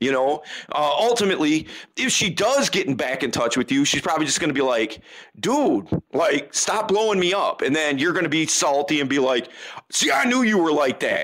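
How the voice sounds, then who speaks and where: At a moderate pace, a man speaks in an animated, bright, sharp tone, his loudness very even while his pitch swings very widely. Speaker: dating coach. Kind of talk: casual interview.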